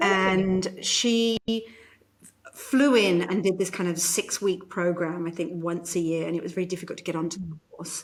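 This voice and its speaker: Speaking at a moderate pace in a British accent, a woman uses a medium pitch and fairly even intonation. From UK. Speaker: corporate psychologist and keynote speaker. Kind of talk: interview answer.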